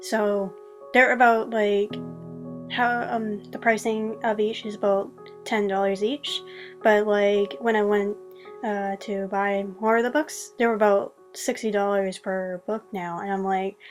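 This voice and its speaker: Over music in the background, a woman speaks at a medium pitch, at a fairly slow pace, with fairly even intonation. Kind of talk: casual video review voiceover. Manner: unscripted, hesitant with many fillers.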